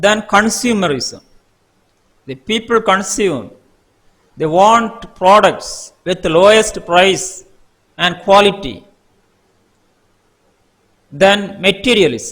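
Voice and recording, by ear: A man speaks slowly in a high voice with a fairly bright tone and lively intonation. He leaves long, frequent pauses.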